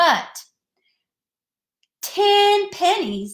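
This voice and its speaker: Her pitch swinging very widely, a woman with an American accent speaks in an animated, playful tone. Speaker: elementary school teacher. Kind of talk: video lesson for young children. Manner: slow, deliberate.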